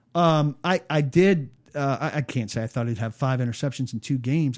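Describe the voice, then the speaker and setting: A man talks at a moderate pace on a very clean recording with a silent background, the sound dry and close with no echo. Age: 40s. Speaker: sports journalist. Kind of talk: interview. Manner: hesitant, many fillers.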